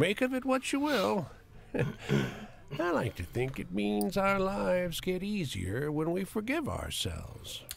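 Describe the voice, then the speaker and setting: Putting on a character voice, a man speaks fairly slowly at high pitch over clear background noise. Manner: slow talking.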